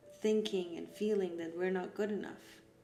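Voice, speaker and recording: A woman with a Persian accent talks at a moderate pace in a monotone, flat intonation. Music plays in the background, and room echo is audible. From Iran. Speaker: art therapy facilitator. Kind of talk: guided art session talk.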